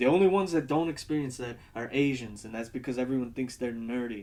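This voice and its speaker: A man with an American accent speaks in a normal speaking voice of medium pitch, at a fairly quick pace with ordinary pitch variation. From United States. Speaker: video essayist. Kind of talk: casual video essay monologue. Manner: rambling, many fillers.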